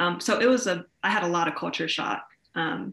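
Over a quiet background, a woman with an American accent speaks at a moderate pace, her fairly low voice showing vocal fry and lively intonation. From US Midwest (Columbus, Ohio). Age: 20s. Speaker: college student and small business owner. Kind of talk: casual interview. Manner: hesitant, many fillers.

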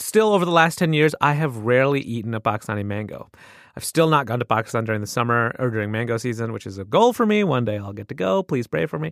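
In a very clean recording with a silent background and a dry, close sound with no echo, a man with an American accent talks at a very fast pace at medium pitch, with lively intonation and big swings in loudness. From US Midwest. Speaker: podcast host. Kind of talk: casual chat.

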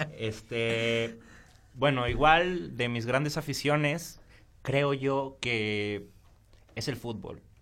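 Very slow speech with long, frequent pauses, ordinary pitch variation and audible room echo. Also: man, medium pitch for a man. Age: 20s. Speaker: architect, podcast co-host. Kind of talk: casual chat.

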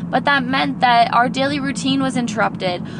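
A woman talks at a fairly quick pace in an animated tone, with very wide pitch swings. Noticeable background noise and audible room echo fill the recording. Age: 20s. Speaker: podcast host and kindergarten teacher. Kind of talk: casual pep talk monologue. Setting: in a car.

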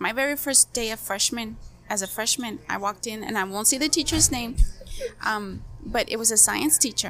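A woman with an American accent and an unremarkable speaking voice talks at a moderate pace and a fairly high pitch. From Heber, Imperial Valley, California. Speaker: community organizer. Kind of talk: casual interview.

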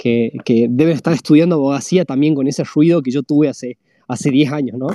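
A man with a dark, mellow tone and fairly high pitch speaks at a very fast pace with fairly even intonation. The sound is dry and close with no echo, over a quiet background. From Argentina, La Rioja. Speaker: web3 community builder, former lawyer. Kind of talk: interview conversation. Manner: halting, many repetitions and fillers.

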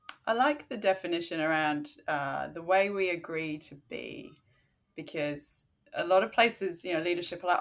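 A woman with a fairly low pitch speaks at a moderate pace with lively intonation. The recording is very clean, with a silent background. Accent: Australian. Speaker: leadership consultant. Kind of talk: casual chat.

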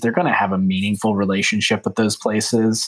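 A man speaks with an American accent in a medium pitch. His pitch variation is ordinary. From US Midwest, small-town Ohio. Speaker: entrepreneurship author and researcher. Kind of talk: interview.

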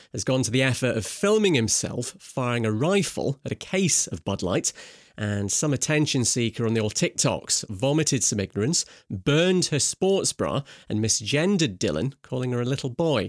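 A man with a Scottish accent speaks at medium pitch and a moderate pace, his pitch swinging very widely, in a dry, close sound with no echo on a very clean recording with a silent background. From Scotland. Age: 40s. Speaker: journalist and broadcaster. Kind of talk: news reading.

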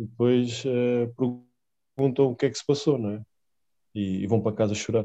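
Against a quiet background, a man with a dark, mellow tone speaks with fairly even intonation, big swings in loudness, and long, frequent pauses. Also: medium pitch for a man, moderate pace, dry, close sound with no echo. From Portugal, Lisbon. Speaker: professional basketball player. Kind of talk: casual interview.

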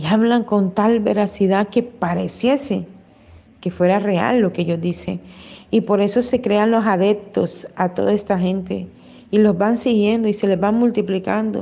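At a fairly slow pace, a woman speaks in a dark, mellow tone with fairly even intonation. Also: medium pitch for a woman. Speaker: pastor. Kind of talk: sermon.

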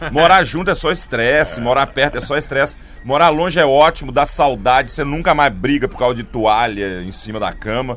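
Fairly high-pitched male voice, an unremarkable speaking voice, fairly quick with hardly any pauses, lively intonation and big swings in loudness. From Goiânia, Brazil. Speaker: comedian. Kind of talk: casual chat. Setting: studio.

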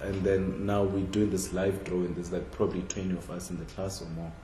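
A man with a very deep, low voice speaks with a South African accent over noticeable background noise. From Limpopo, South Africa. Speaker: contemporary artist. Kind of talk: casual interview conversation. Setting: in-person conversation.

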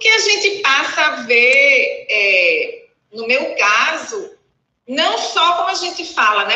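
A woman uses a raised, projected voice with a bright, sharp tone. She moves very slowly through very wide pitch swings. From Recife, northeastern Brazil. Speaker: dentist. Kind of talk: casual interview.

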